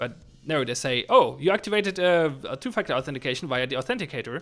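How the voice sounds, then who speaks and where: With a German accent, a man talks at a very fast pace and a fairly high pitch. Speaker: game developer streamer. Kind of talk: livestream chat while programming. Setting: livestream. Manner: halting, many restarts.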